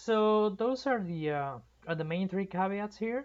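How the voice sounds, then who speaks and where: A woman speaks with a Spanish accent and lively intonation. Her pace is moderate. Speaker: amateur reader of novels. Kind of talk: casual chat. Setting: livestream. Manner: halting.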